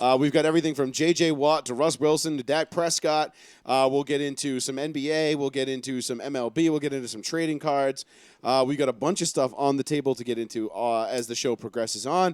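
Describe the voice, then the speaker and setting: A man's fairly high voice with a Boston accent, fairly quick and fairly even in intonation, in a dry, close sound with no echo. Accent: Boston-area. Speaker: sports talk show host. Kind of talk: live sports talk show.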